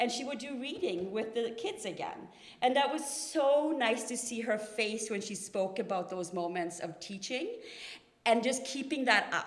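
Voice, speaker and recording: Amid audible room echo, a woman with a fairly high pitch talks at a moderate pace with lively intonation. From Norway. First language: Norwegian. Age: 40s. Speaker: family member giving a eulogy. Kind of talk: eulogy. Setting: memorial service in a church. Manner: talkative, unscripted.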